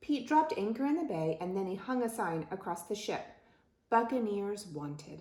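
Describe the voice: The speaker reads the text aloud in a plain way.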